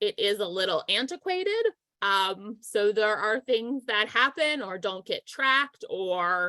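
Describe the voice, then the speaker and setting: Lively intonation from a woman, fairly high in pitch, with a bright, sharp tone. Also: quiet background. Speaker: volunteer software trainer. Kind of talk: tutorial. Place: home room. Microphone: video call.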